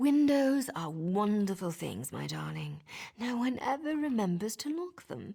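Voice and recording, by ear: A woman uses a put-on character voice with a dark, mellow tone, a slightly husky edge and vocal fry. She goes at a fairly slow pace with big pitch swings. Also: medium pitch for a woman.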